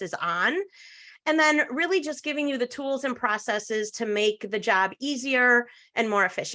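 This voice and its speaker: A woman projects a raised voice at a high pitch with lively intonation and a bright, sharp tone. She keeps a moderate pace against a quiet background. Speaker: social media trainer. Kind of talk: webinar presentation.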